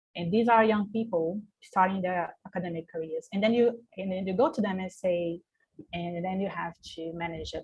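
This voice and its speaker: A woman with a Portuguese accent, a fairly low pitch and a somewhat breathy voice, in a dry, close sound with no echo. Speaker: researcher. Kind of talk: panel discussion. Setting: video call. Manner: halting.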